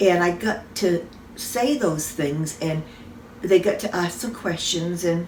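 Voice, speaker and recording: Very slowly, a woman talks at a fairly low pitch with ordinary pitch variation over noticeable background noise. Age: old. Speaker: salon owner. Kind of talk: casual talk to camera.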